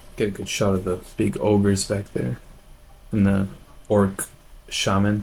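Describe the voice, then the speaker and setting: A somewhat breathy man with a fairly low pitch speaks at a fairly slow pace with fairly even intonation and long, frequent pauses. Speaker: toy collector YouTuber. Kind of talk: collection tour. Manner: casual.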